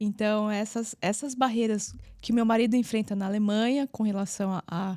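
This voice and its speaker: A dark, mellow tone comes at a moderate pace in a dry, close sound with no echo and a very clean recording with a silent background. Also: woman. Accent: São Paulo. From Brazil, São Paulo. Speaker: physiotherapist and entrepreneur. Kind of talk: interview. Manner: halting.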